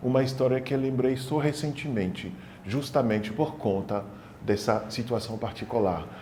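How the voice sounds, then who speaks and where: Lively intonation with audible room echo. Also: man. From Senegal (childhood), then France. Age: 40s. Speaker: documentary interviewee. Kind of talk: testimony.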